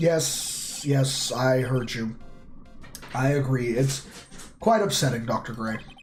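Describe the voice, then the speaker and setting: In a put-on character voice, a raspy man speaks at a medium pitch and a fairly slow pace while clear music plays in the background. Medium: game stream. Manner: dry, sarcastic.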